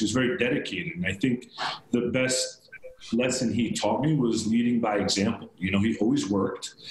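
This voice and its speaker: Noticeable background noise sits behind a man with a New York accent whose medium pitch moves with ordinary variation. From Long Island, New York. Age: 40s. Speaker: real estate broker. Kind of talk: interview.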